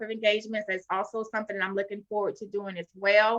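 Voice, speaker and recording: A woman with a Florida accent speaks in a fairly high pitch with a bright, sharp tone and fairly even intonation. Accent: Southern drawl, Florida twang. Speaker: author. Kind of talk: interview.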